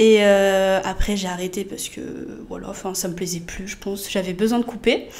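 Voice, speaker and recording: A woman with a plain, everyday voice, medium pitch, moderate pace and fairly even intonation. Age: 20s. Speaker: rhythmic gymnastics coach and judge. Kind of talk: casual chat.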